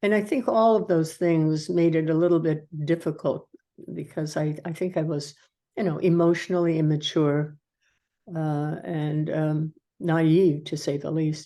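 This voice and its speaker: Against a quiet background, a woman with a very deep, low pitch and a dark, mellow tone speaks at a fairly slow pace with fairly even intonation. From Norway, raised in US from childhood. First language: Norwegian. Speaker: retired army colonel and nurse. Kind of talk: oral history interview. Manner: halting, many fillers.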